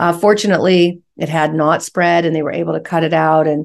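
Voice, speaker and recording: A woman with a very deep, low pitch and vocal fry, an American accent, a fairly quick pace, and a quiet background. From US West Coast, San Francisco Bay Area. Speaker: real estate investor and company executive. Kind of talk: interview.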